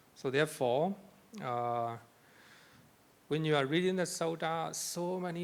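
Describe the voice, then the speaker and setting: A man speaks at a fairly slow pace in a fairly high voice. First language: not English. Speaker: Buddhist monk lecturer. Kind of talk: lecture. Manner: repetitive.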